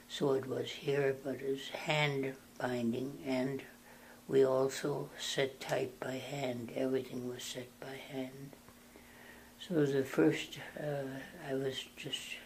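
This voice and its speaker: A man with an American accent speaks at a very slow pace in a monotone, flat delivery. His pitch sits in the middle range, and his voice is somewhat breathy. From North Dakota, USA. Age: 80s+. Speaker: Benedictine monk. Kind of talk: interview answer.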